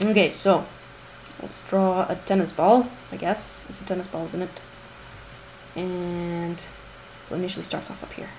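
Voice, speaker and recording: A woman talks at a moderate pace with a fairly low pitch and fairly even intonation. Noticeable background noise sits behind her. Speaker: math teacher. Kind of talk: tutorial. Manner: casual, chatty; whispering, quiet.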